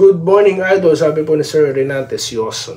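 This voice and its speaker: Through noticeable background noise, a man with a fairly high pitch talks at a fairly slow pace with ordinary pitch variation. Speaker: sports vlogger. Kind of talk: casual commentary and shoutouts. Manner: sleepy-sounding.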